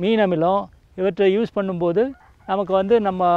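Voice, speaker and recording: Pitched high for a man, his voice shows ordinary pitch variation and sounds dry, with no echo. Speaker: retired civil servant turned organic farmer. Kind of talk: interview, farm walkthrough explanation. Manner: halting, many fillers and repetitions. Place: farm machine.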